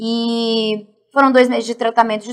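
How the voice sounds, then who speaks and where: A woman's high-pitched voice. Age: 40s. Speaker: martial arts athlete and fitness coach. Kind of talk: interview testimony.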